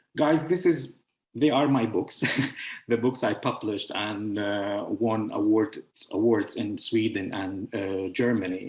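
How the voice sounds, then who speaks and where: Speaking in an Arabic accent at a fairly slow pace, the voice shows ordinary pitch variation. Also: man, medium pitch for a man. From Syria. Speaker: author and founder of a publishing house. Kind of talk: online presentation. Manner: halting, with many fillers.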